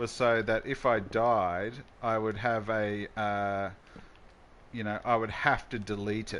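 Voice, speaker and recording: Speaking with an Australian accent, a man talks at a fairly slow pace in a fairly low pitch. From Australia, Queensland. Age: 40s. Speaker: gaming streamer. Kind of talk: live gameplay stream chat. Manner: casual, halting with restarts.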